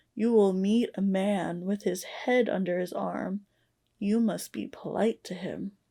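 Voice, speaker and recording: A woman's put-on character voice at a medium pitch, fairly slow and fairly even in intonation, on a very clean recording with a silent background. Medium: read story. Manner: calm and prophetic.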